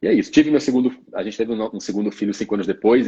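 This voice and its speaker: A man speaks with a Bahian accent in a dark, mellow tone with ordinary pitch variation. The sound is dry and close, with no echo. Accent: Northeastern Brazilian (Bahian). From Salvador, Bahia (Brazilian Northeast). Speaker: obstetrician. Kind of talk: casual interview on a live stream.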